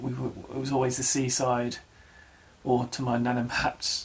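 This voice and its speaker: Noticeable background noise sits behind a man speaking. He keeps a fairly slow pace and fairly even intonation. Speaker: vlogger. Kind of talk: personal vlog. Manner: halting.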